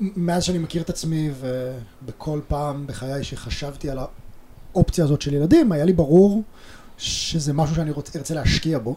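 Speaking at a moderate pace, a man uses a fairly high voice with ordinary pitch variation over noticeable background noise. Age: 30s. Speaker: father and tech worker. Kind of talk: interview conversation.

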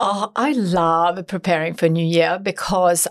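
On a very clean recording with a silent background, a woman speaks at a fairly slow pace in a medium pitch. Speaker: entrepreneur and author. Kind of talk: interview. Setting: studio.

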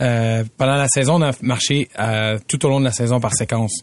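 A man with a medium pitch talks at a moderate pace in an unremarkable speaking voice. The background is quiet. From Quebec, Montreal south shore. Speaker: professional football player. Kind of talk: casual chat.

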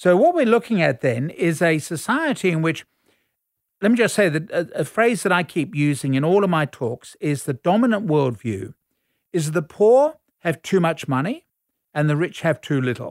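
A man's high-pitched voice at a moderate pace, lively in intonation, dry and close with no echo on a very clean recording with a silent background. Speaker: academic commentator. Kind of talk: explanatory discussion. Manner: explanatory, conversational.

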